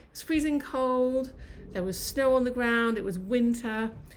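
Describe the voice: A woman with a fairly high voice talks at a fairly slow pace with ordinary pitch variation, and room echo is audible.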